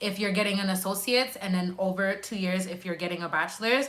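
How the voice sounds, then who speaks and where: A woman speaks with a Grenadian accent. Noticeable background noise is audible. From Canada, Grenadian family. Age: 20s. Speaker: nurse. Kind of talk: live stream chat. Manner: casual, conversational.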